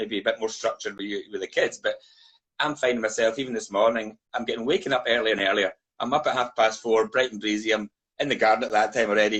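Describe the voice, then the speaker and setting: A man with a Scottish accent at a very fast pace. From Scotland. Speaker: whisky brand ambassador. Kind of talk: casual chat.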